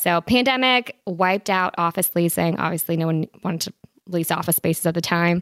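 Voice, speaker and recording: A woman speaks in an ordinary speaking voice at a fairly quick pace, with a fairly low pitch and ordinary pitch variation. The recording is very clean with a silent background and a dry, close sound with no echo. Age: 20s. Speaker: real estate investor. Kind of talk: interview.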